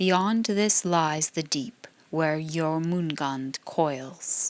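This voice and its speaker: Using a put-on character voice, a woman talks at a very slow pace with a very deep, low pitch. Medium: read story. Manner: sullen, grudging.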